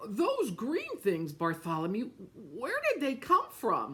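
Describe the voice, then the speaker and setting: A woman's put-on character voice with very wide pitch swings. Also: fairly high pitch for a woman, fairly slow pace. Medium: read story.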